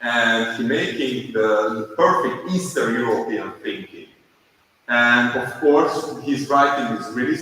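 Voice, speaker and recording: A man speaks with a Hungarian accent. He keeps a fairly slow pace. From Hungary, Budapest. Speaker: animation filmmaker. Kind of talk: conference presentation. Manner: halting.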